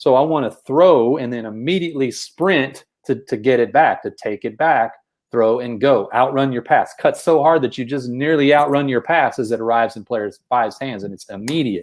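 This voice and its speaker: Over a quiet background, a man with a Texas accent speaks at a medium pitch and moderate pace, with ordinary pitch variation and big swings in loudness. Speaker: basketball coach. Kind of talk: podcast discussion explaining basketball plays. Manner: repeats words, filler-heavy.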